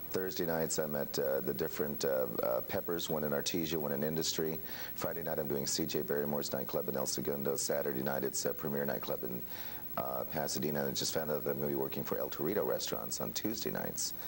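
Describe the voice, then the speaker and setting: A man with an American accent speaks at a very fast clip, his volume very even. His pitch is very deep and low, with fairly even intonation. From Kansas, US Midwest. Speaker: radio DJ. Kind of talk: talk show interview. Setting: TV studio.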